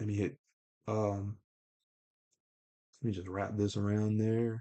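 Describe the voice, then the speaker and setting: A man speaks at a fairly low pitch, the sound dry and close with no echo. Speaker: comic artist streamer. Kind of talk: live drawing stream commentary. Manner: low, subdued.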